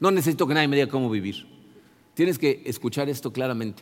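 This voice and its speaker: A man talks at a very fast clip with lively intonation. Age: 60s. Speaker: pastor. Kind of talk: sermon. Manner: halting.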